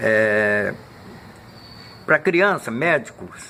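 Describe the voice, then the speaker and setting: A man speaks at a very slow pace in a medium pitch. Noticeable background noise runs underneath. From Minas Gerais, Brazil; Rio de Janeiro from age 12. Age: 80s+. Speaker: elderly interviewee recounting his life. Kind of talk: documentary interview.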